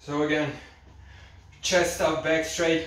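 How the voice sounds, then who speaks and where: In a room with audible echo, a man speaks at a very slow pace in a monotone, flat intonation. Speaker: fitness instructor. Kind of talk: tutorial. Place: home room. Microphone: camera far.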